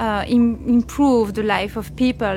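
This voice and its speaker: Over music in the background, a woman with a fairly high pitch talks at a fairly slow pace in a monotone, flat intonation. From Belgium. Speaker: media art blogger. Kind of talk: interview. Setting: conference venue.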